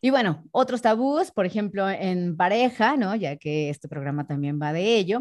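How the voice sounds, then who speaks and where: A woman with a Mexican accent speaks at a fairly slow pace and a medium pitch, her voice making very wide pitch swings on a very clean recording with a silent background. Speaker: sexologist and voice announcer. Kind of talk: casual interview.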